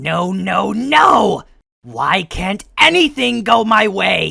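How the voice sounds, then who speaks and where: This is a cartoonish character voice at middle pitch. It moves at a very slow pace. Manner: shrill, petulant.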